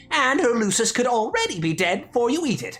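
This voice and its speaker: A put-on character voice with fairly high pitch comes through over faint music in the background. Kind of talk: comedic audio drama roleplay. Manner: angry, shouting, insulting.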